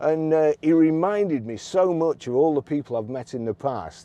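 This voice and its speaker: A man with a Lancashire accent, his voice fairly high in pitch, dark and mellow in tone, with lively intonation at a moderate pace. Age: 60s. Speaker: car dealer. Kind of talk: casual vlog storytelling. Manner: halting, many repetitions.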